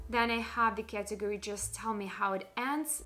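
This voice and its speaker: A woman with a non-native accent talks at a moderate pace. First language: not English. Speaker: book vlogger. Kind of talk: casual monologue video.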